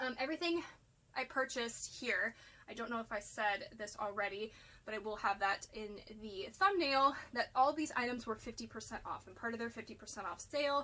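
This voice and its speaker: A woman with an American accent speaks at a fairly quick pace and a fairly high pitch. Her pitch variation is ordinary, while her loudness swings widely. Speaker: part-time online reseller. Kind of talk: casual haul video monologue. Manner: chatty, rambling with fillers.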